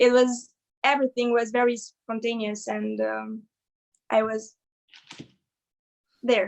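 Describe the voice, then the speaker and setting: A woman speaks in a fairly high, monotone voice with flat intonation. She leaves long, frequent pauses. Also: fairly slow pace. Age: young. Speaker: singer. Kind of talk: casual chat. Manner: halting.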